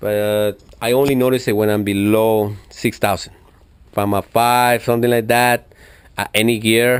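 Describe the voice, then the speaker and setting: A man with a strong non-native accent speaks at a medium pitch and a moderate pace. His intonation is monotone and flat, and his loudness is very even. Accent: thick foreign. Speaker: motorcycle enthusiast vlogger. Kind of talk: tutorial. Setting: home garage. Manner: casual, hesitant with fillers.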